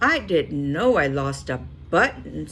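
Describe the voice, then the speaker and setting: The voice is a put-on character voice. Clear background noise can be heard. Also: woman, fairly slow pace. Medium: read story.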